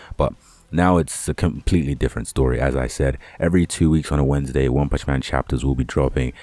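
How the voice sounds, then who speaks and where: Speaking at a fairly quick pace with a British accent, a man talks in a very deep, low pitch. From UK. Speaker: anime and manga YouTuber. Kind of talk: casual vlog talk to camera. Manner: casual, rambling with fillers.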